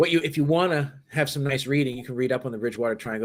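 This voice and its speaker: A man with a Boston accent, medium pitch and ordinary pitch variation, on a very clean recording with a silent background. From Massachusetts, south of Boston. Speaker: paranormal investigator. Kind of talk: interview.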